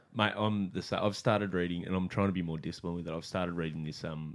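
A man talks at a very fast pace with hardly any pauses. His pitch is very deep and low, and his intonation is fairly even. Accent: Australian. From Australia. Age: 30s. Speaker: comedian and podcast host. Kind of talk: charity plug; casual chat.

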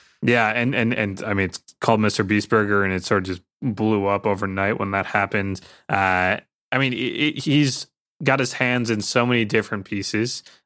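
The recording is very clean, with a silent background, as a man with an American accent speaks at a moderate pace. His fairly low voice has a bright, sharp tone and ordinary pitch variation. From US Midwest, suburbs of Detroit. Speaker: venture investor focused on creators. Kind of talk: casual interview chat.

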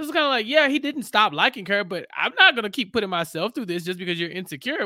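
This man's voice sits high for a man, with lively intonation. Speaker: podcast co-host. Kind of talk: casual chat.

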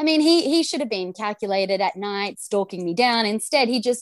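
Lively intonation in an Australian accent, with a dry, close sound with no echo and a very clean recording with a silent background. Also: woman. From Australia, Gold Coast. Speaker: TV presenter. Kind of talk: casual chat.

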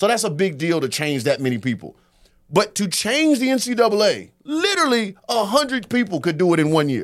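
With an American accent, a man speaks at a high pitch and a fairly quick pace, his pitch swinging very widely. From US South. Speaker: comedian. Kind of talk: casual chat.

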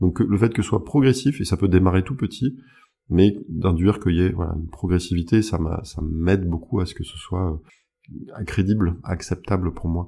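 With a very deep, low voice that is dark, mellow and somewhat breathy, a man speaks at a moderate pace with ordinary pitch variation. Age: 30s. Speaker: hypnosis practitioner. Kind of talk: interview. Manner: hesitant with fillers.

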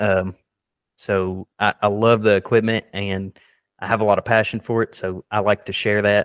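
A man's fairly low, monotone, flat voice at a moderate pace, dry and close with no echo, against a quiet background. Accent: American. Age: 20s. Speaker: excavation contractor. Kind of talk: interview.

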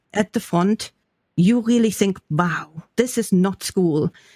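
With a German accent, a woman speaks in a dry, close sound with no echo on a very clean recording with a silent background. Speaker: professor and podcast co-host. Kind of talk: casual academic discussion.

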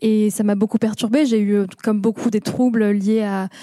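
A woman's fairly high-pitched voice, dark and mellow in tone, at a moderate pace. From southeastern France, Moroccan family. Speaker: podcast creator. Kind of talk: panel discussion. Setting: stage with audience.

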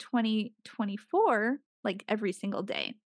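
A woman with a fairly high voice talks at a moderate pace with ordinary pitch variation. The sound is dry and close with no echo, against a quiet background. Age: 30s. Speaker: podcast host, business owner. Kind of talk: casual solo monologue. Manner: casual, rambling with fillers.

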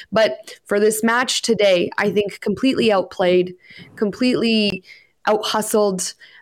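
In a Canadian accent, a woman with a fairly high pitch talks at a fairly slow pace, keeping very even loudness and ordinary pitch variation. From Canada. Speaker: soccer podcast co-host. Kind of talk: casual sports discussion. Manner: animated.

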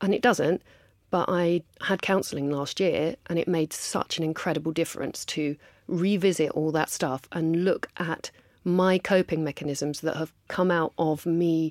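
Someone with an English accent speaks at a fairly slow pace with fairly even intonation, on a very clean recording with a silent background and a dry, close sound with no echo. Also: woman, fairly low pitch for a woman. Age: 40s. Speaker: makeup artist and beauty entrepreneur. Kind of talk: casual interview.

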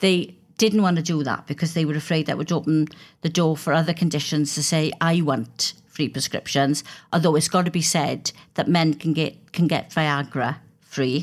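A woman's very deep, low voice in a Welsh accent, fairly even in intonation and moderate in pace, on a very clean recording with a silent background. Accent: Welsh (Swansea). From Wales. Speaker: politician. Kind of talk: interview.

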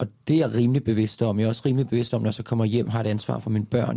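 Speaking at a very fast pace, a man uses a medium pitch, a dark, mellow tone, fairly even intonation, and vocal fry. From Denmark, Lyngby near Copenhagen. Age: 40s. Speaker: actor, dancer and public speaker. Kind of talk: casual interview conversation.

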